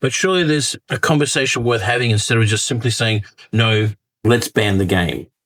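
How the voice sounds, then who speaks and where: At a fairly quick pace, the speaker uses an Australian accent, with ordinary pitch variation and very even loudness. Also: man, medium pitch for a man. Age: 50s. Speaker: gaming commentator. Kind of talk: casual talk to camera.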